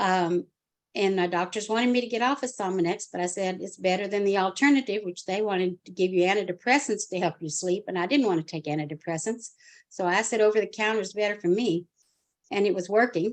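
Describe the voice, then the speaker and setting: Over a quiet background, a woman speaks at a very fast pace. Her medium pitch carries ordinary pitch variation. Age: 70s. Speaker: customer giving a product testimonial. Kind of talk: testimony. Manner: halting.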